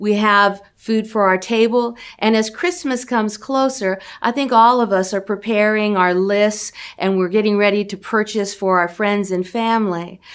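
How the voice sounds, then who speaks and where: A woman with an American accent speaks in a normal speaking voice, fairly high in pitch with ordinary pitch variation. The recording is very clean, with a silent background. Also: moderate pace. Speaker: charity outreach representative. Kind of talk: appeal speech to camera.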